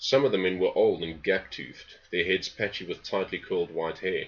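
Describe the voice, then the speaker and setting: In a South African accent, a man talks at a moderate pace. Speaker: novelist. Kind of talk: reading aloud; casual introduction. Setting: home study.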